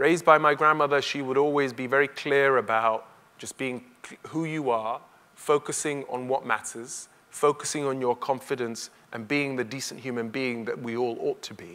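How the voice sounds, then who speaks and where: Bright and sharp in tone, a man with a medium pitch speaks at a moderate pace with fairly even intonation and big swings in loudness. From Kenya, then North West London from childhood. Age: 30s. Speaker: barrister and broadcaster, keynote speaker. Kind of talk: keynote speech.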